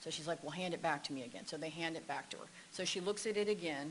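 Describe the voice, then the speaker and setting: A woman with an American accent talks at a very fast pace in a fairly low pitch, keeping her intonation fairly even amid audible room echo. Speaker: expert witness, psychology professor. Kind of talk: court testimony; casual chat. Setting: courtroom.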